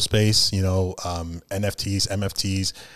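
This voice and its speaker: A man with a New York accent talks at a fairly low pitch with fairly even intonation, captured in a very clean recording with a silent background. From Brooklyn, New York (Flatbush). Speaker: rapper. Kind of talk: casual chat.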